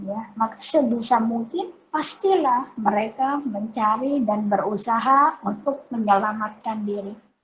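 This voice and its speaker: A woman talks at a fairly slow pace with a fairly high pitch and ordinary pitch variation. Noticeable background noise sits behind her. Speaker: female Islamic religious teacher. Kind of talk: religious lecture.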